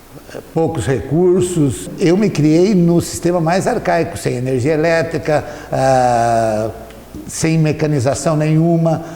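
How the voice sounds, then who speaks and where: Amid noticeable background noise and audible room echo, a man speaks very slowly at a fairly high pitch, with ordinary pitch variation and very even loudness. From Rio Grande do Sul, Brazil. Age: 60s. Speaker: local resident interviewee. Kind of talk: interview testimony. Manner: hesitant, with fillers.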